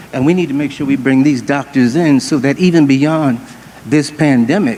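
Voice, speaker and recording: Noticeable background noise accompanies a man with a fairly high voice. He keeps a moderate pace and ordinary pitch variation. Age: 60s. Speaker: church leader. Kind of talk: town hall panel remarks.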